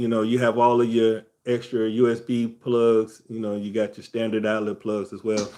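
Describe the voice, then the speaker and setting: A man's plain, everyday voice, medium in pitch, at a fairly slow pace. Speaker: travel livestream host. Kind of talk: casual livestream tutorial. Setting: live stream. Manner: casual, conversational.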